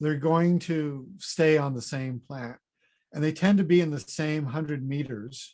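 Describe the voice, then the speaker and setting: This very clean recording has a silent background. On it, a man with a fairly high pitch speaks at a fairly slow pace with fairly even intonation. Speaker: fruit researcher, professor. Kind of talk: conference presentation.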